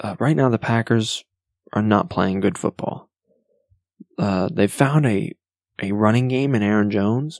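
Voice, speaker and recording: Soft-spoken and fairly low in pitch, a man talks at a fairly slow pace with ordinary pitch variation and long, frequent pauses, in a dry, close sound with no echo. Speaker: sports podcast host. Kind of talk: solo sports talk podcast. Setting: at home at night. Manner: quiet, soft-spoken.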